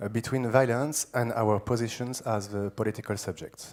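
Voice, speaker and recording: A man with a strong French accent speaks at a moderate pace in a medium pitch, his intonation fairly even. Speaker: philosopher. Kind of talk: lecture. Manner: seated, informal delivery.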